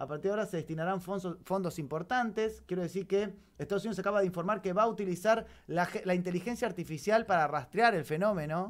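Against a quiet background, a man talks at a very fast pace with hardly any pauses. His pitch is high, with ordinary variation. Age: 40s. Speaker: radio host. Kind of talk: casual chat. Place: studio. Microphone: studio mic.

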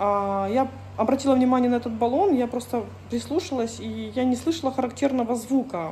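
Against light background noise, a woman with a high pitch and a dark, mellow tone talks at a fairly quick pace with ordinary pitch variation. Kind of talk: casual vlog chat, storytelling. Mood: indignant, recounting a conflict. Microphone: phone near.

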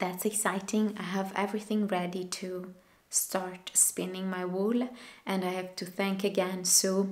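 Her intonation stays monotone and flat throughout. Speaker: knitting podcaster. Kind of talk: casual vlog chat. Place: home room. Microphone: camera far.

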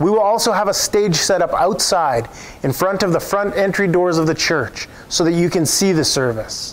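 The pace here is moderate. A man's voice sits high in pitch. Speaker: pastor. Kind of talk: church announcements and scripture reading. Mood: warm, upbeat. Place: church. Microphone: lapel.

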